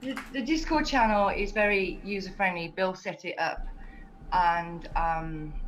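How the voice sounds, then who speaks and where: A woman talks with a British accent and very wide pitch swings. Noticeable background noise and audible room echo are present. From England. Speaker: community ambassador. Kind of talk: casual chat.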